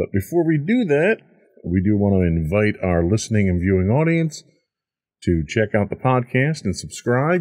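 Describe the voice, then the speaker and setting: This is an ordinary speaking voice. It moves at a moderate pace against a quiet background. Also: man. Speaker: podcast host. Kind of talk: podcast intro chat. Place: studio. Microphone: studio mic.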